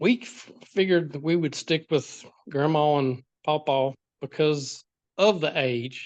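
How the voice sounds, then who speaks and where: Speaking with an American accent at a fairly slow pace, a man with a fairly high pitch uses ordinary pitch variation while his loudness swings widely. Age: 60s. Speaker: foster parent. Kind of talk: interview.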